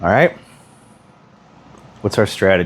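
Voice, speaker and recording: A man speaks quietly. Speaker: pool instructor. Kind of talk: tutorial. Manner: casual.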